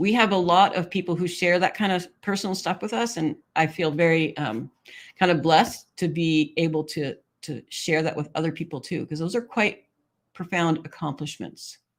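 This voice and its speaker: A plain, everyday voice from a woman, fairly low in pitch, with ordinary pitch variation at a moderate pace, on a very clean recording with a silent background. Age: 60s. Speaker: live stream host reading chat. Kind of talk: casual chat reading viewer comments.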